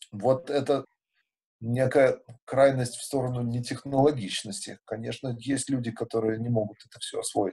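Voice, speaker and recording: A man's dark, mellow, somewhat breathy voice at a medium pitch, with fairly even intonation, a moderate pace and big swings in loudness. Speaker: musician and festival organizer. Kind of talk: casual interview.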